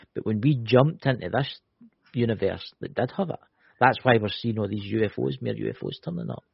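A man talks at a fairly quick pace with lively intonation. His fairly low voice has vocal fry. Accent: Scottish. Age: 40s.

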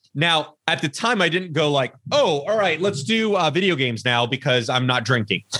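Speaking with a Californian accent, a man uses a bright, sharp tone, very wide pitch swings and a moderate pace. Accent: Californian American. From Los Angeles, California. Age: 30s. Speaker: podcast guest in addiction recovery. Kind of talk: casual interview. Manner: repetitive false starts.

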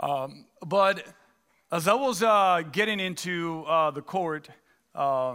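With a Spanish accent, a man speaks in a high pitch with a bright, sharp tone. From Dominican Republic. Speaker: pastor. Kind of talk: sermon. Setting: church. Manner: halting, frequent fillers.

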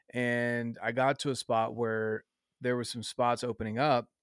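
A man in a Southern US accent, medium pitch, monotone and flat, at a fairly slow pace, with dry, close sound, no echo, and a very clean recording over a silent background. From North Carolina. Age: 30s. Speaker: outdoors fitness podcaster. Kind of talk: casual chat.

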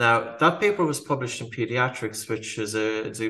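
Bright and sharp in tone, a man speaks with an Irish accent and ordinary pitch variation. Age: 40s. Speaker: breathing educator and author. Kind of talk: interview.

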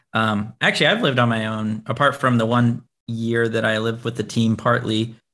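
Talking at a fairly quick pace, a man with an American accent holds a medium pitch in a monotone, flat intonation. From Tennessee and Florida, US South. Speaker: professional video game player and content creator. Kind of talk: casual interview.

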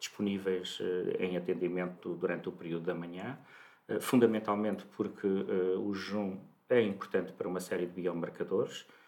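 A man with a very deep, low voice keeps his intonation fairly even while speaking at a moderate pace. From Portugal, Santarém. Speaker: clinical lab director, pharmacist. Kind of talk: interview.

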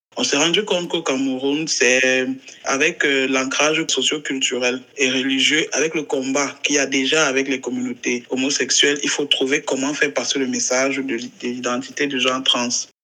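A man with a fairly high pitch and monotone, flat intonation at a moderate pace, with noticeable background noise. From Cameroon. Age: 30s. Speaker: LGBT rights activist. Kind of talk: interview.

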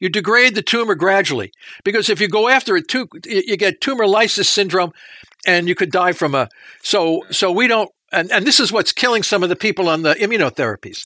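In a raised, projected voice with a bright, sharp tone, the speaker goes at a fairly quick pace with ordinary pitch variation and very even loudness, the sound dry and close with no echo. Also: man, high pitch for a man. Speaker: professor. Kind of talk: interview answering questions about research.

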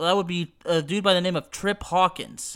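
A man with an American accent speaks at a high pitch and a moderate pace in a bright, sharp tone. The recording is very clean, with a silent background. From Texas. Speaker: wrestling podcast host and video game commentator. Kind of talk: radio-style show opener, then casual nostalgic video game discussion and plot retelling.

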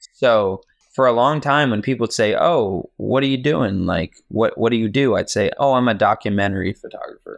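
An unremarkable speaking voice from a man, medium in pitch, at a moderate pace with ordinary pitch variation against a quiet background. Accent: American. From Virginia, US. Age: 20s. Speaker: film photographer. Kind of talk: casual chat.

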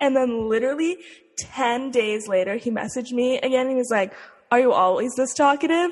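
Speaking fairly quickly with an American accent, a woman uses a high pitch and ordinary pitch variation against noticeable background noise. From Utah. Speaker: podcast co-host. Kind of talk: casual chat.

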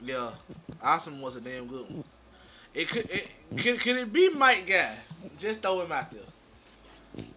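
A high-pitched man at a fairly slow pace, with long, frequent pauses, very wide pitch swings and big swings in loudness. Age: 20s. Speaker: podcast co-host. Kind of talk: casual chat.

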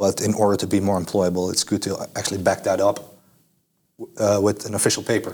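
Fairly quick, flat, monotone speech in a Dutch accent. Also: man, fairly low pitch for a man. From Netherlands. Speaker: student. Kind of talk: casual interview. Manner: hesitant, many fillers.

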